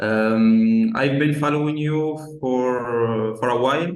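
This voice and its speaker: A man speaks with a non-native accent, and room echo is audible. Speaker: marketing agency owner. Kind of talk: casual chat. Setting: video call. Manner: halting, many fillers.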